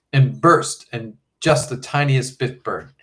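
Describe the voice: Over a quiet background, the voice is plain reading aloud with fairly even intonation.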